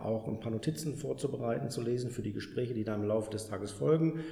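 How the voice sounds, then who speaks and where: Lively intonation carries the speech along at a fairly quick pace. Noticeable background noise and audible room echo fill the recording. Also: man. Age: 50s. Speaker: staffing company founder. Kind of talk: interview.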